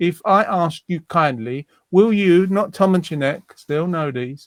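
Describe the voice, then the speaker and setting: Loudness swings widely as a man speaks fairly slowly in a high voice with ordinary pitch variation. The sound is dry and close, with no echo. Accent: London. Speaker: online community show host. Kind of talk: casual chat.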